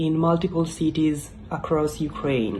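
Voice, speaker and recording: A woman speaks fairly slowly with an Italian accent. Her tone is dark and mellow, her pitch fairly low. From Italy. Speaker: YouTuber. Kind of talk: casual explainer vlog. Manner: halting, many fillers.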